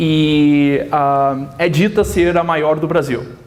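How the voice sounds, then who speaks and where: This man has a fairly high pitch and a slight Minas Gerais accent. The recording has audible room echo and noticeable background noise. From southern Minas Gerais, Brazil. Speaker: physicist. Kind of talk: lecture. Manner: halting.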